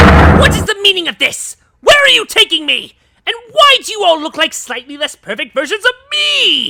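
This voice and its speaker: This is a cartoonish character voice at an extremely high pitch. It moves at a moderate pace with very wide pitch swings. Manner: shrill, self-important.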